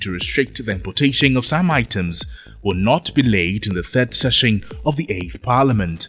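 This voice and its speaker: This man speaks with a Ghanaian accent at a moderate pace. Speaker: news presenter. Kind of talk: news reading. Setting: studio. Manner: formal; measured.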